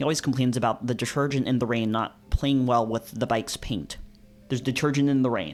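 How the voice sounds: Fairly even intonation in a natural reading voice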